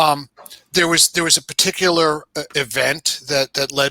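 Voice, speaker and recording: A man with an American accent speaks in a bright, sharp tone at a fairly high pitch. His intonation is fairly even and his pace fairly slow. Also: dry, close sound with no echo. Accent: New York accent on certain words. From New York. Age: 60s. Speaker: video game industry guest. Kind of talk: casual chat. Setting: live stream. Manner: halting, many fillers.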